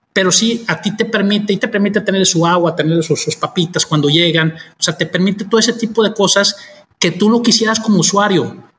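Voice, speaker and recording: Very even in loudness, a man with a high pitch speaks at a fairly quick pace with ordinary pitch variation. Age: 40s. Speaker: vacation rental owner. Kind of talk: casual interview chat. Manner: halting, many repetitions.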